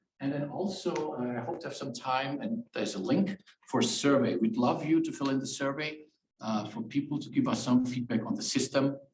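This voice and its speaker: A fairly high-pitched man with a slight German accent, lively intonation and a fairly quick pace. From Germany. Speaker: professor. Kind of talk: tutorial. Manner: hesitant, many fillers.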